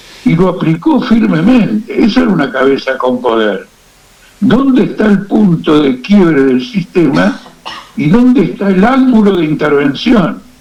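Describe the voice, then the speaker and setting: A man speaks fairly slowly at a high pitch, with very wide pitch swings. His loudness stays very even over noticeable background noise. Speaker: political activist and analyst. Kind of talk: radio interview.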